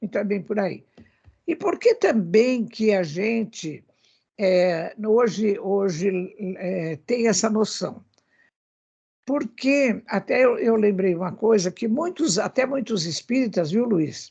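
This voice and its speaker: Very slow and full of long, frequent pauses, a woman's fairly high, somewhat breathy voice carries lively intonation. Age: 80s. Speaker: spiritist speaker on animal welfare. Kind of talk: radio talk show discussion.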